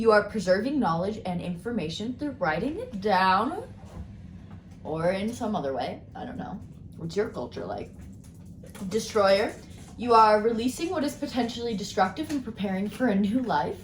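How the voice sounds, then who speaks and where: A woman speaks at a medium pitch with lively intonation and big swings in loudness. Audible room echo surrounds her voice. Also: moderate pace. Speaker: tarot and crystal card reader. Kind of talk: card reading video. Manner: casual, rambling with fillers.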